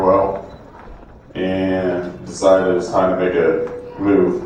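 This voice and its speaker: A man's voice comes through audible room echo alongside noticeable background noise. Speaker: school resource officer. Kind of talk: public speech to community audience. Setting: community event stage with microphone.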